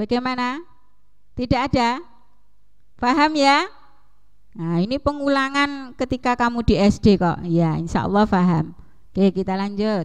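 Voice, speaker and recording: A woman's high-pitched voice with lively intonation, fairly slow and broken by long, frequent pauses, against a quiet background. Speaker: junior high English teacher. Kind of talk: online class lesson. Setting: video call.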